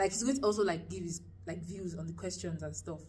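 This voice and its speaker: In a Nigerian accent, a woman speaks at a fairly quick pace. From Lagos, Nigeria. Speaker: university student. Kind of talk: casual talk to camera.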